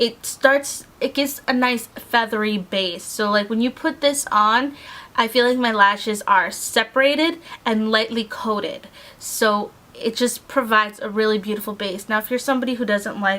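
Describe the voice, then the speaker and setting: A plain, everyday voice from a woman, moderate in pace, fairly high-pitched, with ordinary pitch variation. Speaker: beauty vlogger. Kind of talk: casual product review. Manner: casual, filler-heavy.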